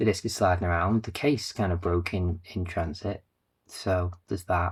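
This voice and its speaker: In a northern English accent, a man talks with a very deep, low pitch and a somewhat breathy quality, his pitch varying in an ordinary way. The recording is very clean, with a silent background. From northern England. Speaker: game collector YouTuber. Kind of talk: casual vlog talk to camera. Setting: home, recording on camera. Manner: fast.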